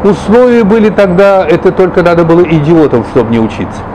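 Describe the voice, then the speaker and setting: A man speaks in a high voice. Background noise is noticeable. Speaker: television and radio announcer, writer and local historian. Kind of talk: interview answer, reminiscing about his career. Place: cafe. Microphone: lapel.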